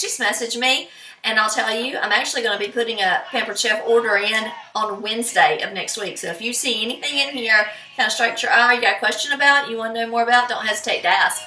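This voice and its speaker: A woman talks very fast at a fairly high pitch, with music in the background and audible room echo. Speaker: home cook. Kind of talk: cooking tutorial. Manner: casual, chatty.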